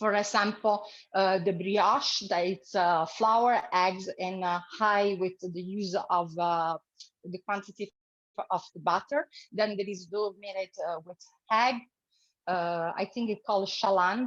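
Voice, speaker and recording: At a very slow pace, a woman with an Italian accent speaks at a medium pitch with fairly even intonation. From Italy. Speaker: cooking demonstrator. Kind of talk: cooking tutorial. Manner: halting, many fillers.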